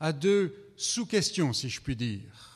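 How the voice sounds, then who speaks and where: A man with a high-pitched voice. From France. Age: 70s. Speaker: visiting preacher. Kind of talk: sermon.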